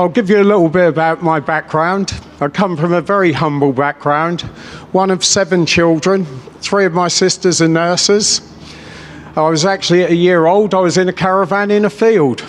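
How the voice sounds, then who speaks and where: Over noticeable background noise, a high-pitched man speaks at a moderate pace with very even loudness and fairly even intonation. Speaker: businessman, rally speaker. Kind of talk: political rally speech. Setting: stage with audience. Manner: off the cuff, passionate.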